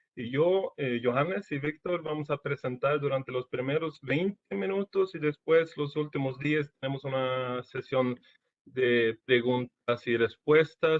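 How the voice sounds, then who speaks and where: Speaking fairly slowly in a Portuguese accent, a man uses a fairly high pitch with ordinary variation. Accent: Portuguese-tinged Spanish. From Sweden. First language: Swedish (speaking Spanish). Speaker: engineering service manager. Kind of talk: webinar presentation. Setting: online webinar. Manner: halting.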